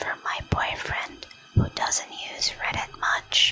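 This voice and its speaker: Whispering comes from a woman, with noticeable background noise behind her. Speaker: ASMR channel host. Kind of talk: ASMR story reading. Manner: soft-spoken, intimate.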